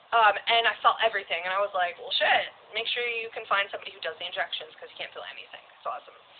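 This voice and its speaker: A woman with an American accent talks very fast, with big swings in loudness. Noticeable background noise runs underneath. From Alaska, US. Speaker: tattooed model and live streamer. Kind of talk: casual live stream chat.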